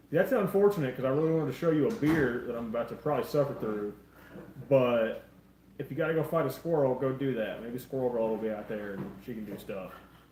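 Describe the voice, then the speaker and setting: Amid noticeable background noise and audible room echo, a man speaks fairly quickly at a medium pitch with lively intonation. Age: 20s. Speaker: live stream co-host. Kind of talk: casual chat.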